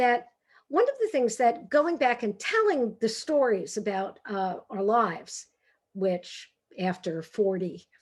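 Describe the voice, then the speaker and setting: At a very slow pace, a woman with a fairly high pitch speaks in a Brooklyn accent with lively intonation. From New York, Brooklyn. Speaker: author and humor speaker. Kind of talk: talk. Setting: video call. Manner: animated.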